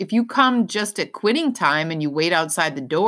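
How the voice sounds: Lively intonation in a natural reading voice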